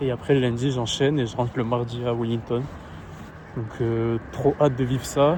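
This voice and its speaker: A man speaks at a moderate pace and medium pitch in a monotone, flat intonation. Noticeable background noise sits behind him. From France, Agen. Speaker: vlogger and sports content creator. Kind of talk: travel vlog. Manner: halting, lots of fillers.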